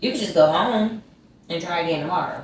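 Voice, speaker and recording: Amid noticeable background noise, a woman with a Southern US accent talks at a fairly quick pace with ordinary pitch variation. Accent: Southern American. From Georgia, USA. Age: 20s. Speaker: YouTuber. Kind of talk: casual storytime talk to camera. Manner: animated, chatty.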